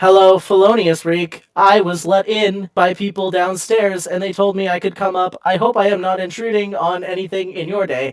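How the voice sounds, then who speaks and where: A man puts on a character voice at a high pitch. He keeps a moderate pace with hardly any pauses. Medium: actual play. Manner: polite, formal.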